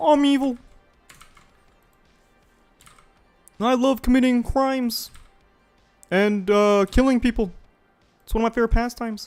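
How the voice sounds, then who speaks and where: A put-on character voice with a fairly high, nasal pitch moves at a moderate pace with long, frequent pauses while faint music plays in the background. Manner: cutesy voice saying dark lines.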